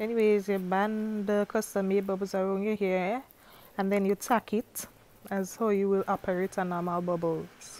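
With flat, monotone intonation, a woman speaks at a medium pitch. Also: moderate pace. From Grenada. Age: young. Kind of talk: hair tutorial voice-over. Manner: playful, humorous.

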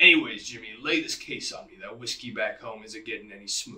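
A man's put-on character voice at a very fast pace. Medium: stage.

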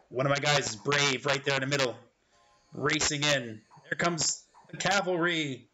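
Fairly high pitch for a man, ordinary pitch variation and a moderate pace, with music in the background. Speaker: gamer and voice-over artist. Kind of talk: casual gameplay commentary. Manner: relaxed, hesitant, many fillers. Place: home room.

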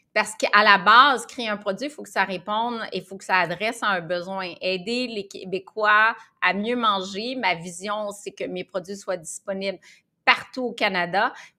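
A woman's bright, sharp voice at a fairly slow pace, fairly even in intonation with big swings in loudness, over a quiet background. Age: 50s. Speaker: nutritionist and entrepreneur; guest. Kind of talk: interview. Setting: podcast. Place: office. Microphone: video call.

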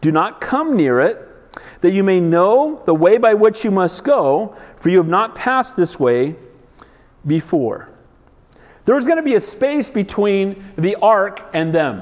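A man's high-pitched voice at a fairly slow pace, with very wide pitch swings, over a quiet background. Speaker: pastor. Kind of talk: sermon. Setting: church. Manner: animated, emphatic preaching with call-and-response prompts; direct, exhorting congregation. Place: hall. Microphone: lapel.

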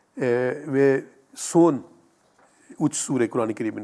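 Speaking at a moderate pace, a man with a dark, mellow tone sits at a medium pitch and shows ordinary pitch variation. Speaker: imam, Islamic teacher answering viewer questions. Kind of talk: religious Q&A answer. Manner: halting, filler-heavy, repeating words.

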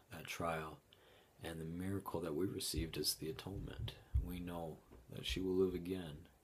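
With a Utah accent, a man speaks in a very deep, low pitch, leaving long, frequent pauses. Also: fairly even intonation, moderate pace. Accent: Utah American English. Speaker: bereaved father. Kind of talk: testimony. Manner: halting.

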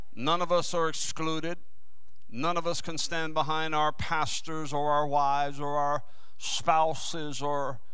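Over a quiet background, a man's bright, sharp tone stays at a fairly even intonation. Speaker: preacher. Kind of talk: sermon. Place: church. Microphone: handheld.

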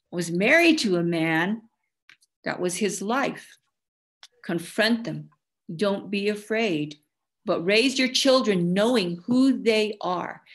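Lively intonation and an American accent mark this very slow delivery. Long, frequent pauses break it up against a quiet background. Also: woman, medium pitch for a woman. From Navajo Nation, Arizona (Chinle); Arizona. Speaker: presenter. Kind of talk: presentation. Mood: earnest, passionate. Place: home room. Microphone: video call.

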